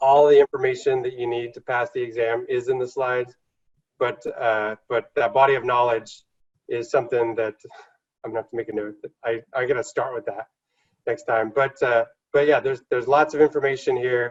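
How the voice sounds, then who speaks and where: A man talks at a fairly quick pace and medium pitch, somewhat breathy, with fairly even intonation. His loudness swings widely, and the sound is dry and close with no echo. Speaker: instructor. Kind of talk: lecture. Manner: fast.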